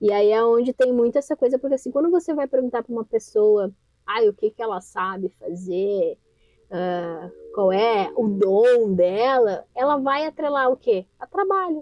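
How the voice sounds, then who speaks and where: A woman talks at a fairly slow pace with an ordinary speaking voice. Her pitch is fairly high and her intonation lively. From southern Brazil. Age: 20s. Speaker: entrepreneur and personal finance educator. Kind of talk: podcast interview.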